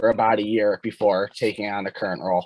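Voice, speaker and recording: A man with a Chicago accent in a dry, close sound with no echo. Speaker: hockey and strength coach. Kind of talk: casual podcast interview.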